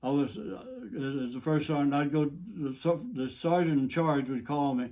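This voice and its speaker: At a moderate pace, a man talks in a fairly high pitch with a dark, mellow tone. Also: ordinary pitch variation. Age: 80s+. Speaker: war veteran. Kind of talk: interview. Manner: halting.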